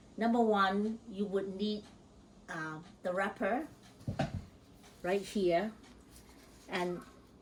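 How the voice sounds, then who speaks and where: A woman with a medium pitch and a somewhat breathy voice speaks very slowly, with fairly even intonation. Her pauses are long and frequent. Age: 80s+. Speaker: home cook. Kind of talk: cooking tutorial talk to camera.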